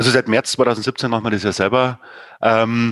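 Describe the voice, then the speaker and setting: At a moderate pace, a man talks in a medium-pitched, flat monotone, recorded dry and close with no echo. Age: 40s. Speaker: sports club chairman. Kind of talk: casual interview.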